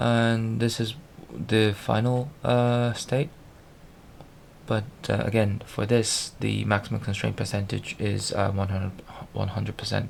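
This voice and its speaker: A man mumbles at a fairly slow pace in a fairly low pitch. His intonation is fairly even, and he leaves long, frequent pauses. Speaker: programmer video blogger. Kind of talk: screen-recorded tutorial walkthrough. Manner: halting, stuttering and mumbling.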